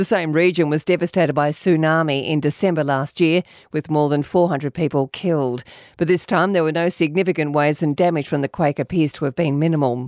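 Speaking with an Australian accent at a fairly quick pace, a woman has a very deep, low pitch. Her intonation stays fairly even, and the sound is dry and close with no echo. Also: very clean recording, silent background. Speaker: newsreader. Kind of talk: news reading. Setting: studio. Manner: formal, crisp, even-paced.

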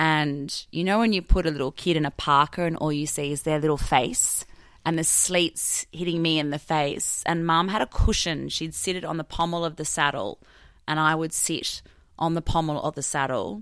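With an Australian accent, a woman speaks at a moderate pace in a very deep, low voice with ordinary pitch variation, on a very clean recording with a silent background. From southern New South Wales, Australia. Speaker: farmer. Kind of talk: interview.

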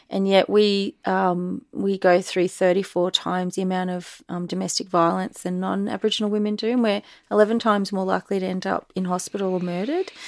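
With an Australian accent, a woman talks at a medium pitch and a fairly quick pace in monotone, flat intonation, on a very clean recording with a silent background. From Australia, Echuca/Moama (Victoria–NSW border). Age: 40s. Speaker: visual artist and curator. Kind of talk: interview conversation.

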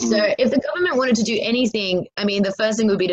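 Speaking at a fairly quick pace with an Australian accent, a woman sounds energetic, her pitch varying in an ordinary way. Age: 20s. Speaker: comedian and activist. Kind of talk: interview conversation.

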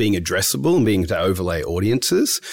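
The speaker is a man with a fairly low voice. He moves along at a fairly quick pace. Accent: Australian. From Australia, Melbourne. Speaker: ad tech trading director. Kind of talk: interview. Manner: hesitant, many fillers.

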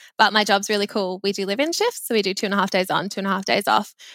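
Bright and sharp in tone, a woman with an Australian accent speaks with ordinary pitch variation, recorded dry and close with no echo, very clean against a silent background. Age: 20s. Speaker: personal finance social media creator. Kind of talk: casual chat.

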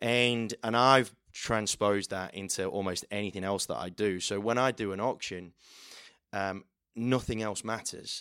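In an English Midlands accent, a man with a fairly low pitch sounds animated and energetic in a very clean recording with a silent background. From central England. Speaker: auctioneer. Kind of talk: casual interview chat. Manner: animated, energetic.

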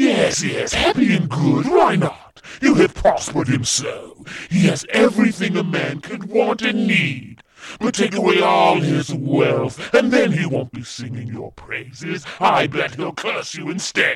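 A man puts on a character voice with a high pitch, speaking at a fairly slow pace. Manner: sly, taunting.

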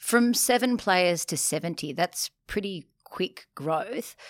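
Recorded very cleanly against a silent background with a dry, close sound and no echo, a woman with an Australian accent talks at a medium pitch with lively intonation. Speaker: podcast host. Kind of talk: interview. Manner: upbeat.

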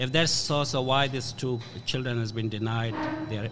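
Against noticeable background noise, a man talks at a moderate pace in a medium pitch with fairly even intonation. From Afghanistan, Hazara. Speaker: refugee advocate. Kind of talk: interview. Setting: restaurant with background noise.

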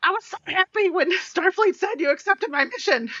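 This is a put-on character voice pitched extremely high. It moves along at a fairly quick pace. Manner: formal, cheerful.

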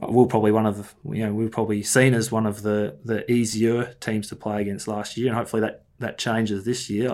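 Very fast, monotone and flat speech from a man with an Australian accent and a fairly low pitch. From Melbourne outer east, Australia. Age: 30s. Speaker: football coach. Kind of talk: interview. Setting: video call. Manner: halting, many fillers and repeats.

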